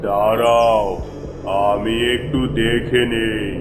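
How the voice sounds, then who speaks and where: Over loud background noise, a man uses a cartoonish character voice at a medium pitch with a solemn tone. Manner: solemn, oracular.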